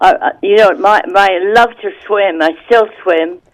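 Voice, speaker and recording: Her pitch sits in the medium range. This woman's pitch swings very widely. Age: 80s+. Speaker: radio show guest. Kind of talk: casual chat. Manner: halting.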